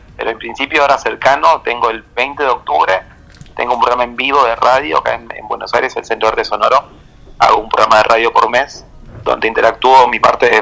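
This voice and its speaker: Noticeable background noise runs through the clip. The man speaks at a fairly quick pace. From Peru, Lima. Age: 30s. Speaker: blind artist and poet. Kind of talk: interview.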